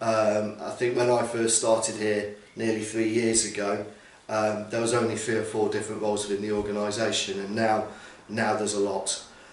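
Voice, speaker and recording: A man talks at a moderate pace, with audible room echo around his voice. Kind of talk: interview answer. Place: office. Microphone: camera far.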